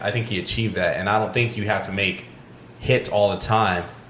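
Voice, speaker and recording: Against noticeable background noise, a man with a fairly low pitch talks fairly quickly in a monotone, flat intonation. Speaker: podcast co-host. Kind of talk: casual chat.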